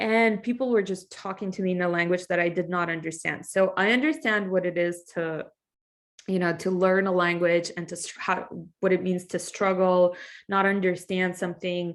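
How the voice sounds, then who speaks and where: On a very clean recording with a silent background, a woman of medium pitch speaks at a moderate pace with fairly even intonation. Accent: Russian. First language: Russian. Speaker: English teacher. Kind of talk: class introduction. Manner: casual, conversational.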